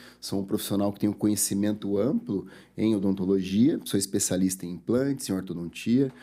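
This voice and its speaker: This man has a dark, mellow tone and a fairly low pitch. He speaks at a moderate pace with ordinary pitch variation. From interior of São Paulo state, Brazil. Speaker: dentist. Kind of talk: sales pitch; interview.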